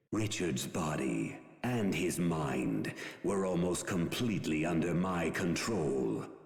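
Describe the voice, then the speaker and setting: A man's put-on character voice, very deep and low in pitch, at a fairly slow pace with clear echo. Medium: video game. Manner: cold, detached.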